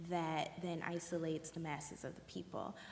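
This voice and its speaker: At a moderate pace, a woman talks in an unremarkable speaking voice pitched fairly low. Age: 20s. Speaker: dancer and choreographer. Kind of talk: panel discussion.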